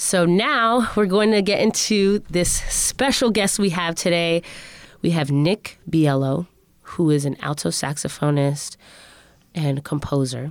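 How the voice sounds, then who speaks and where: A woman's fairly slow, very evenly loud delivery in a fairly low pitch, with an American accent and an unremarkable speaking voice. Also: lively intonation. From Connecticut. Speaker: podcast host. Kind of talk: casual interview.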